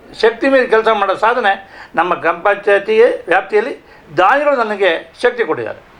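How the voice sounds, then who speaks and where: A man's high-pitched voice, its pitch varying in an ordinary way. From Karnataka, Shivamogga district (Malnad). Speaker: village council vice-president. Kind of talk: interview.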